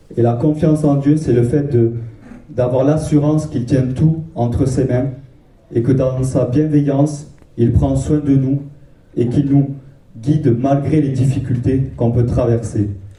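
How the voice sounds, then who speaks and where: A man at medium pitch talks at a fairly slow pace with long, frequent pauses and fairly even intonation. His loudness stays very even, and audible room echo surrounds the voice. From southwest France, Castres. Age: 20s. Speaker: Bible school student. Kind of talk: testimony. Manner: halting.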